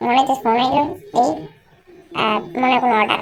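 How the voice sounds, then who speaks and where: A woman performs a cartoonish character voice. Her pitch is high. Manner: whiny, comic grumbling.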